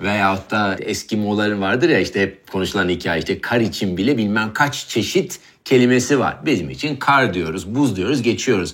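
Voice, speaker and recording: A man with a Swedish accent speaks at a moderate pace. His fairly low voice has lively intonation. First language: Swedish (speaking Turkish). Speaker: chef and show host. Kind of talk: casual conversation.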